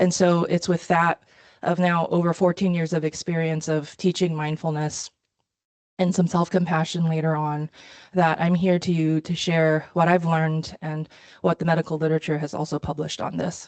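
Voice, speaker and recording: A woman with a fairly low pitch speaks at a moderate pace in a monotone, flat intonation, the sound dry and close with no echo. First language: Mandarin Chinese. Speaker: physician. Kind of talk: lecture.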